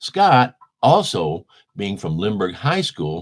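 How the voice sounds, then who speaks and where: Speaking at a fairly slow pace with an American accent, a man uses a fairly low pitch that swings very widely. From US Midwest, St. Louis, Missouri. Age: 70s. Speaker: musician, band bassist. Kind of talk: interview. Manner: animated.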